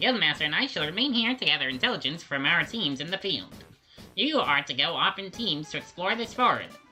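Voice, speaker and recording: A put-on character voice at a middle pitch, with very wide pitch swings, a fairly quick pace and faint music in the background. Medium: fan dub. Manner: formal, officious.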